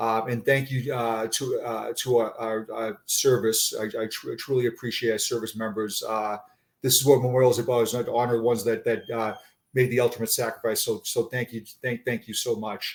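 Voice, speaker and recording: Speaking at a fairly quick pace in a monotone, flat intonation, a man with a Boston accent comes through on a very clean recording with a silent background. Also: medium pitch for a man. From Boston area, Massachusetts. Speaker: retired police sergeant. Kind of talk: interview conversation. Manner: halting, frequent repetitions.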